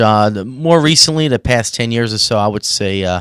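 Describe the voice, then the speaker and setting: Speaking with a New York accent, a man uses a medium pitch with ordinary variation at a moderate pace. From New York City, Staten Island. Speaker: rock band drummer. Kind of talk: casual interview. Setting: live stream broadcast.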